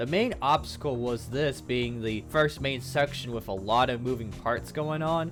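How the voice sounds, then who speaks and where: Music plays in the background as the voice moves along at a moderate pace. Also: man. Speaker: indie game developer. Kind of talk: devlog narration.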